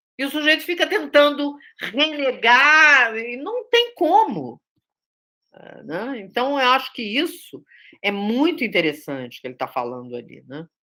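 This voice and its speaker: A woman speaks at a fairly slow pace in a high, raised, projected voice with a bright, sharp tone. Her pitch swings very widely, and the recording is very clean with a silent background. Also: big swings in loudness. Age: 60s. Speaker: theatre director and teacher. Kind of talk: study group discussion. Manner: conversational with many fillers.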